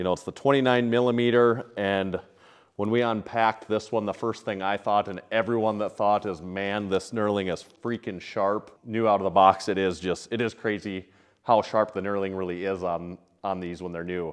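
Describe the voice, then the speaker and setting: Against a quiet background, a man with an unremarkable speaking voice and a fairly low pitch talks at a moderate pace with fairly even intonation. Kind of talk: casual vlog chat. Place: gym.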